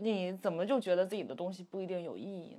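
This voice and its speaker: A woman of medium pitch with a dark, mellow tone. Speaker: podcast host. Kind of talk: casual chat.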